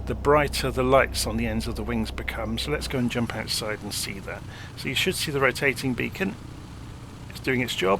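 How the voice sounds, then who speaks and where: A fairly low-pitched man with a British accent at a moderate pace, with noticeable background noise. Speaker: flight simulator content creator. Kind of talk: casual tutorial walkthrough.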